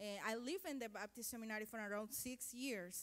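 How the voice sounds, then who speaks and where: A woman with a Spanish accent, moderate pace and ordinary pitch variation. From Guatemala. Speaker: mission volunteer coordinator. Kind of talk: testimony. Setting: church. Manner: halting.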